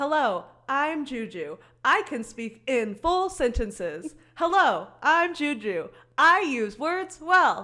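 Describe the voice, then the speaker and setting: A woman with an American accent projects a raised, high-pitched voice with a bright, sharp tone. She speaks very slowly with very wide pitch swings on a very clean recording with a silent background. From US Midwest (rural Missouri). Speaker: podcast host. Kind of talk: casual chat.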